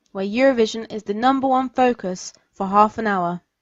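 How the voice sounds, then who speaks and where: A woman with a southern English accent talks at a fairly quick pace in a fairly high voice, her pitch varying in an ordinary way. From southern England. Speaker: podcast host. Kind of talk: podcast monologue.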